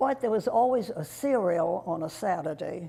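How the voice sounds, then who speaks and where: Speaking at a fairly slow pace, a woman has a dark, mellow tone with vocal fry and lively intonation. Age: old. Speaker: local resident recalling history. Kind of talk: oral history interview.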